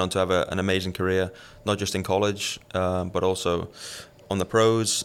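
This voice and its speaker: At a moderate pace, a man with a Liverpool accent talks at a fairly low pitch with fairly even intonation. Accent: Liverpool English (Scouse). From England, Liverpool. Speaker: professional tennis player. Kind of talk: casual interview.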